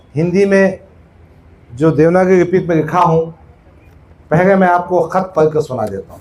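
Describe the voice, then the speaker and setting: This man's voice is high in pitch. The intonation is fairly even. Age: 60s. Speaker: politician. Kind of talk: political speech at a meeting.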